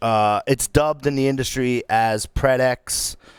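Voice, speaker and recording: Recorded very cleanly against a silent background, a man speaks with a Northeastern US accent. His medium-pitched voice sounds dry and close with no echo. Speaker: podcast host. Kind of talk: casual chat. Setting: live stream show.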